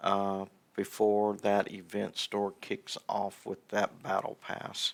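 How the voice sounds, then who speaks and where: A man talks at a very slow pace, captured in a very clean recording against a silent background. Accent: Southern US. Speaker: gaming streamer. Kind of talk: casual livestream chat. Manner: halting, many fillers and restarts.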